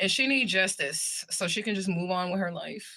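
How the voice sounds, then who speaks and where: A woman's bright, sharp voice at a fairly quick pace. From US Midwest, St. Louis, Missouri. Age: 40s. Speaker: livestreamer and spiritual reader. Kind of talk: casual livestream chat. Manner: animated.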